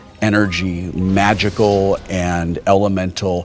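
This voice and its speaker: Against background music, a man speaks with a very deep, low pitch and monotone, flat intonation. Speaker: game master running a tabletop role-playing game. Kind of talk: tabletop RPG game master narration of scene. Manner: descriptive scene narration, slow pacing with pauses.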